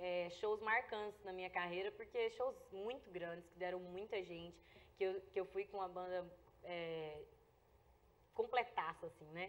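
Speaking at a fairly slow pace, a woman keeps her intonation fairly even but shows big swings in loudness. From Goiás, Brazil (rural). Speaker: singer; interview guest. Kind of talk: interview. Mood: warm, grateful. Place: studio.

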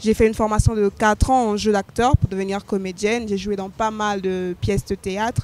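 A woman speaks in a monotone, flat way at a fairly slow pace, with a dry sound with no echo and faint music behind her. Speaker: interview guest, slam poet. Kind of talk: interview answer. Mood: calm, reflective. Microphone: handheld.

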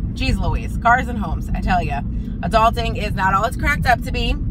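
A woman at a moderate pace, dry sound with no echo, over loud background noise. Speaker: vlogger. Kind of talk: casual vlog chat. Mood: exasperated, joking about car troubles. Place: car. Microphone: phone near.

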